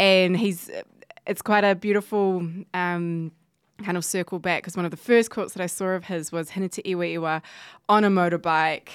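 With a New Zealand accent, a woman speaks at a medium pitch and moderate pace. Her intonation is monotone and flat, and the recording is very clean with a silent background. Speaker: gallery deputy director. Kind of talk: casual chat. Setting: studio. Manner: hesitant, many fillers.

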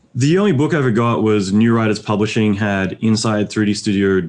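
Over a quiet background, a man talks with a fairly low pitch. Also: hardly any pauses, very even loudness. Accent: American. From Australia. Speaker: visual effects supervisor. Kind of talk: casual interview.

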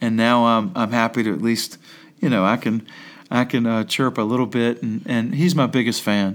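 A man with an American accent and a normal speaking voice talks at a moderate pace and medium pitch, with ordinary pitch variation. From Staunton, Virginia. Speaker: high school basketball coach. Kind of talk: interview. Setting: classroom.

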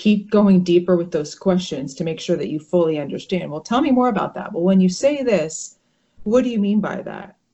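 A woman with an American accent speaks in an ordinary speaking voice, her pitch varying in an ordinary way. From US, northern New Jersey. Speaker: brain injury survivor. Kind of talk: interview. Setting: video call.

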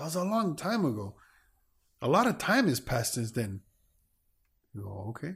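Speaking at a moderate pace, a man with a fairly high pitch sounds somewhat breathy, with very wide pitch swings. Long, frequent pauses break up his speech in a very clean recording with a silent background. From US, Cuban-American. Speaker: podcast co-host. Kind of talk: casual chat.

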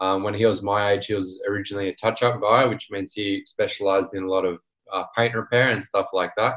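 A man's very fast, fairly low voice with an Australian accent and flat, monotone intonation. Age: 20s. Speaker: small business owner, dent repair technician. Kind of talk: casual interview.

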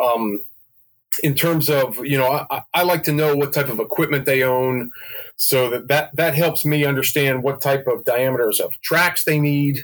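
A man with an unremarkable speaking voice talks at a moderate pace. His pitch is fairly high. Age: 40s. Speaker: model railroad layout builder and parts business manager. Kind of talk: casual interview.

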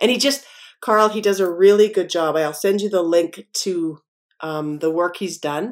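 A woman speaks at a moderate pace in a medium pitch with ordinary variation. Hers is an unremarkable speaking voice. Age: 60s. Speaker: podcast host and muralist. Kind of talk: casual interview.

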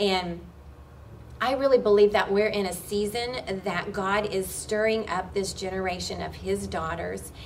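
In an American accent, a woman speaks at a fairly slow pace, with audible room echo around her voice. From Oklahoma. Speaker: worship pastor and ministry co-founder. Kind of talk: interview.

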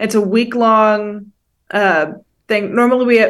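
In a quiet background, a woman speaks at a fairly high pitch and a fairly slow pace, her intonation monotone and flat. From Northern California. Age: 20s. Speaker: college student, host's daughter. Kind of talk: casual chat. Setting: video call.

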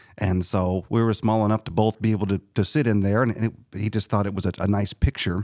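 Speaking with a Southern Illinois accent, a man with fairly low pitch sounds dry and close with no echo in a very clean recording with a silent background. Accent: Southern Illinois, Midland American. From Southern Illinois, US. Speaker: musician. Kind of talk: interview. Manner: halting, many fillers.

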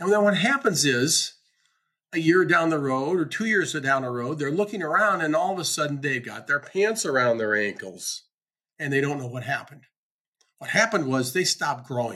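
Speaking at a moderate pace, a man with a fairly high pitch and a bright, sharp tone uses lively intonation. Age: 70s. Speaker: business coach and podcast host. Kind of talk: solo monologue podcast.

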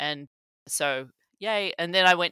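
A woman speaks at a moderate pace with a fairly low pitch, ordinary pitch variation and a slight Australian accent. Her tone is bright and sharp, in a dry, close sound with no echo. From rural Australia. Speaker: cybersecurity executive. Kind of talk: interview. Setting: remote recording.

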